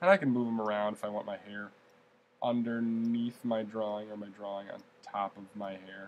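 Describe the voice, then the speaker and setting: A man's plain, everyday voice at a medium pitch and fairly quick pace, with big swings in loudness. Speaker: art teacher. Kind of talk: tutorial.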